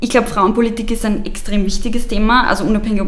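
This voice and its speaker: A woman speaks at a very fast pace. Audible room echo and noticeable background noise surround her voice. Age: 20s. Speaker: youth party politician. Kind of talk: interview.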